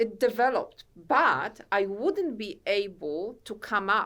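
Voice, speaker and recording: In a Polish accent, a woman speaks very slowly at a fairly high pitch with lively intonation. The recording is very clean, with a silent background. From Poland. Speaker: author and self-help coach. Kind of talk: podcast interview. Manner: halting.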